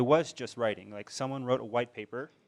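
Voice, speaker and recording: A man talks at a medium pitch. His pitch varies in an ordinary way. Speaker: social enterprise co-founder. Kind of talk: panel talk. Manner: fast.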